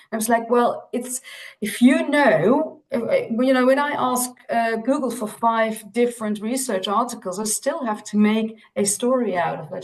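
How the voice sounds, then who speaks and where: Fairly slow speech from a woman with a fairly high pitch. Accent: Dutch. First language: Dutch. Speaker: optometry lecturer. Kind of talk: panel discussion.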